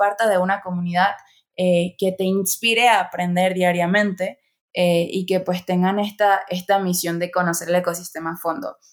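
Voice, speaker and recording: The recording is very clean with a silent background. A woman speaks in a plain, everyday voice at medium pitch and a moderate pace. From Venezuela. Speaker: online education course director. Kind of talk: casual interview.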